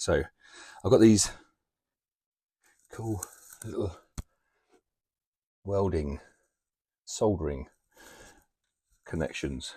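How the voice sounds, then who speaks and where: A man's dark, mellow, somewhat breathy voice, fairly low in pitch, with lively intonation, a very slow pace and long, frequent pauses. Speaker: van life vlogger. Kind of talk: casual vlog narration. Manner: casual, chatty.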